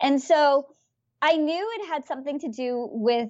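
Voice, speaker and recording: The woman's intonation moves in a lively way. She sits high in pitch. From India. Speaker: former finance executive and author. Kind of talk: interview.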